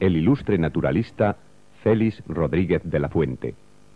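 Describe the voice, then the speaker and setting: With music behind him, a man keeps to a moderate pace. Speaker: voice-over narrator. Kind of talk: documentary narration.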